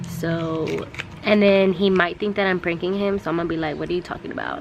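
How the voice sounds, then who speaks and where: The speaker talks at a fairly quick pace in an American accent with monotone, flat intonation. Noticeable background noise runs underneath. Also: woman. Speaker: vlogger. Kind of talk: casual vlog.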